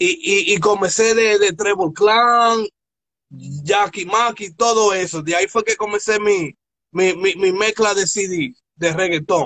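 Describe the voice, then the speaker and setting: Speaking at a fairly slow pace, the man has a high voice with a bright, sharp tone and ordinary pitch variation. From Newark, New Jersey. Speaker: DJ and online radio host. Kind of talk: interview. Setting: live stream. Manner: animated.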